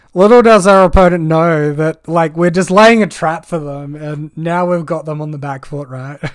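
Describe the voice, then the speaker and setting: This man's fairly high voice moves at a moderate pace with hardly any pauses and ordinary pitch variation. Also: big swings in loudness. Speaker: gaming content creator. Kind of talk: gameplay commentary. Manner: animated.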